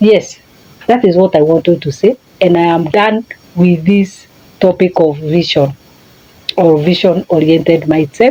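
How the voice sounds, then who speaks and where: With a Kenyan accent, the speaker keeps a moderate pace and very even loudness, using ordinary pitch variation and long, frequent pauses. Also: woman. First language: a Kenyan language (not English). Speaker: life coach. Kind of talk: motivational talk. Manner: halting.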